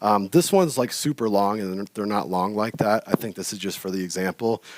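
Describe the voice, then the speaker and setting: The sound is close and dry, without any echo. A man is the one talking. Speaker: mastermind group member presenting on blockchain. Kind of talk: presentation. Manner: fast.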